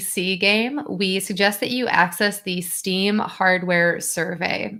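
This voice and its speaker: Speaking with an American accent, the woman has a bright, sharp tone. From US Midwest, Wisconsin. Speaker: translation account manager, presenter. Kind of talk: conference presentation.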